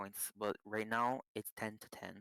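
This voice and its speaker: A man with a non-native accent speaks in a fairly low pitch and a bright, sharp tone. The sound is dry and close, with no echo. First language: not English. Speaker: esports caster. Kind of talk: live commentary.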